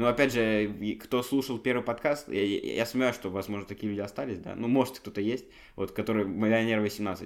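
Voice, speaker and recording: A plain, everyday voice from a man at medium pitch and moderate pace, on a very clean recording with a silent background. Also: ordinary pitch variation. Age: 20s. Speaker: podcast co-host. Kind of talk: casual chat.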